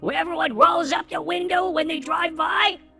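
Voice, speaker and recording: A high-pitched put-on character voice comes through with faint music in the background. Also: moderate pace. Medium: read story. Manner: blunt, questioning.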